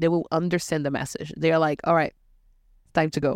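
Recorded very clean with a silent background, a woman with a Portuguese accent sounds dry and close with no echo. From Brazil. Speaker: bartender and podcast host. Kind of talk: casual chat podcast. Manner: playful, animated.

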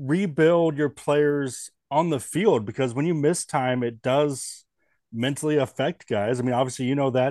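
A man with a normal speaking voice and an American accent talks at a fairly slow pace and a fairly high pitch with ordinary pitch variation, in a dry, close sound with no echo and a quiet background. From US Northwest. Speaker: baseball podcast host. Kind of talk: podcast interview.

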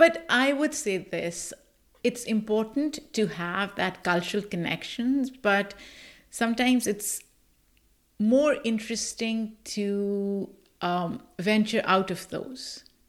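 In a very clean recording with a silent background, a woman with a Pakistani accent speaks very slowly, her fairly high voice rising and falling in a lively way. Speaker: podcast host and producer. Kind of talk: interview.

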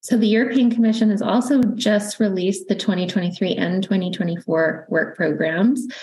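Somewhat breathy speech in a Canadian accent, at a moderate pace, with very even loudness and ordinary pitch variation. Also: woman, medium pitch for a woman. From Canada. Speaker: university research funding manager. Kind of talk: interview.

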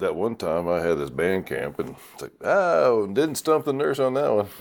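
Moderate-paced male speech on a very clean recording, the background silent. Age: 50s. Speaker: podcast host. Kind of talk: casual chat. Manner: animated.

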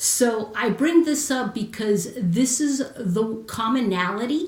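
Speaking at a very slow pace, a woman sounds somewhat breathy. Her pitch varies in an ordinary way. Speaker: Marine Corps veteran and confidence coach. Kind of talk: casual chat. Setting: live video stream.

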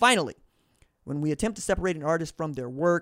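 A very clean recording with a silent background and a dry, close sound with no echo captures a man at a fairly high pitch with ordinary pitch variation. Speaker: podcast host. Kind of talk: solo commentary with book readings. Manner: casual, unedited with fumbles.

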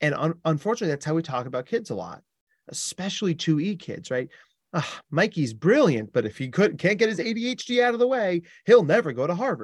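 A high-pitched man with an American accent, very wide pitch swings and a very fast pace. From US Northeast (New Jersey). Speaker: clinical psychologist. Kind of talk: interview. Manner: animated.

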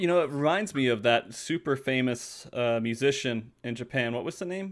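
A man with a plain, everyday voice speaks at medium pitch with lively intonation and hardly any pauses. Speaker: podcast host. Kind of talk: casual chat. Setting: video call.

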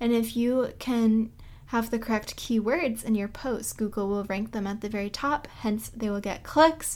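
A woman with an American accent, fairly high in pitch, at a moderate pace with ordinary pitch variation. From US Northeast, Boston. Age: 20s. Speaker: podcast host, travel blogger. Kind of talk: casual solo podcast monologue. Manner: chatty, conversational.

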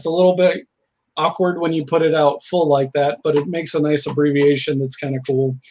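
A man with a plain, everyday voice talks at a fairly quick pace, his fairly high pitch held in fairly even intonation. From US Midwest (Southern Illinois, Indiana). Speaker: game designer. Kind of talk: casual interview.

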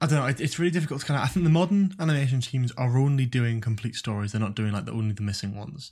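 A man talks at a very fast pace with hardly any pauses, at a medium pitch and with lively intonation. His voice is somewhat breathy, and the recording is very clean with a silent background. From Newcastle, northern England. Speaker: university student and YouTube content creator. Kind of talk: casual chat.

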